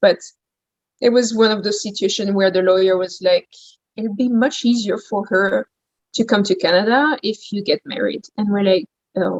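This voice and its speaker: A woman speaks with a French accent at a moderate pace. Her pitch varies in an ordinary way, and she leaves long, frequent pauses. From France, Champagne region. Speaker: gourmet shop owner. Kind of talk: interview.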